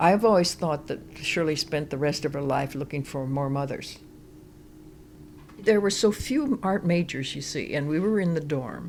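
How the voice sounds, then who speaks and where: Her voice very deep and low, a woman talks at a moderate pace with ordinary pitch variation. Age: 80s+. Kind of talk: interview answer.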